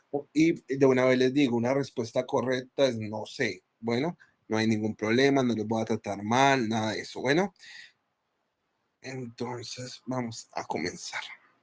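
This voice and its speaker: In an unremarkable speaking voice, a man talks at a fairly slow pace and a medium pitch, with ordinary pitch variation. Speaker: physician teaching a class. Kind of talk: lecture.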